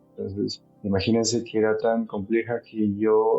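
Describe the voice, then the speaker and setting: A man is speaking. Music plays in the background. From Peru, Huaraz (Andes). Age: 30s. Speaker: mountaineer. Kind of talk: testimony.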